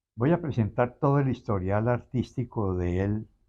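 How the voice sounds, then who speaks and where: A fairly low-pitched male voice with a dark, mellow tone, ordinary pitch variation and a moderate pace against a quiet background. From Colombia, Medellín (Antioquia); born in Armenia, Quindío. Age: 80s+. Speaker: interviewee, son of an artist. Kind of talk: interview about family history. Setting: museum.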